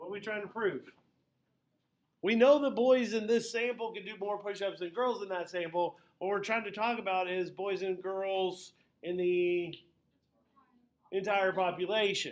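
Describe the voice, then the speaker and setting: Loud and pitched high for a man, his delivery has fairly even intonation and long, frequent pauses. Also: moderate pace. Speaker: high school statistics teacher. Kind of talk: classroom lecture. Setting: classroom with students.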